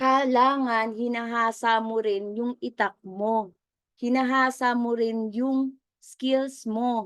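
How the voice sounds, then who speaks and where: Very slowly, a woman speaks at a fairly high pitch in a monotone, flat intonation. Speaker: business mentor. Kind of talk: motivational training talk. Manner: conversational, audience-engaging.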